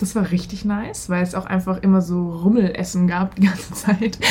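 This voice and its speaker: A woman with a medium-pitched voice talks at a moderate pace while noticeable background noise carries on. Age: 20s. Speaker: former exchange participant, political science graduate. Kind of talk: casual interview.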